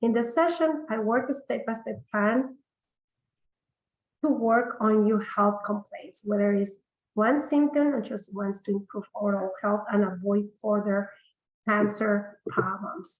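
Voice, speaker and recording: Here a woman speaks at a fairly slow pace. Her pitch is fairly high, with ordinary variation. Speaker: integrative medicine practitioner. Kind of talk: webinar sales pitch. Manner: hesitant, many fillers.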